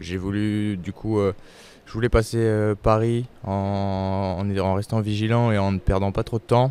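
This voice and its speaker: A man's fairly low, dark, mellow voice with fairly even intonation and a fairly slow pace. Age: 20s. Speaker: ultra-distance cyclist. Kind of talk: interview. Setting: race rest stop during a race. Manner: halting.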